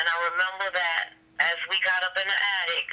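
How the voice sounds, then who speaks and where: There is noticeable background noise. The talking proceeds at a fairly slow pace. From New Orleans. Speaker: hurricane survivor. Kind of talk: testimony.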